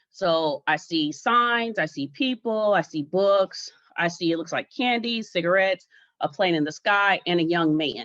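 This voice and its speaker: Her pace fairly slow, a woman talks in a normal speaking voice with a fairly low pitch and lively intonation. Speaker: art teacher and artist. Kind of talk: lecture.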